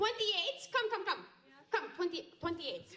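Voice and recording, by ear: A woman's put-on character voice, extremely high in pitch with big pitch swings, a fairly bright tone and a fairly slow pace, in audible room echo.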